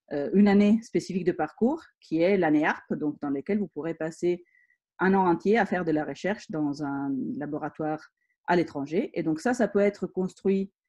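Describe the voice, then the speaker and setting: A woman with a slight Italian accent speaks at a moderate pace with a fairly low pitch and ordinary pitch variation. Her tone is dark and mellow, over a quiet background. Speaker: engineering school teacher. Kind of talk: school presentation.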